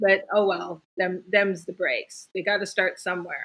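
In an ordinary speaking voice, a woman talks at a medium pitch and a moderate pace. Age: 50s. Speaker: storyteller and magic practitioner. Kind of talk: casual chat.

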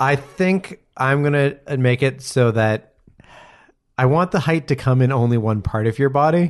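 A man talks in an unremarkable speaking voice at a moderate pace, with ordinary pitch variation. His loudness stays very even against a quiet background. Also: medium pitch for a man. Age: 30s. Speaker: podcast host. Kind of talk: casual chat.

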